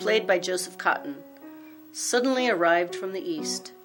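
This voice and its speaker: Over music in the background, a woman speaks at a moderate pace. Her medium pitch makes very wide swings. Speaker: documentary narrator. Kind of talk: documentary narration.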